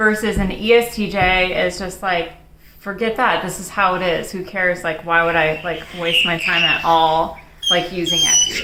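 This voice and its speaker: With a confident tone and fairly even intonation, a woman at medium pitch speaks at a moderate pace over noticeable background noise and audible room echo. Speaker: personality video co-host. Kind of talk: casual chat. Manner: confident-sounding.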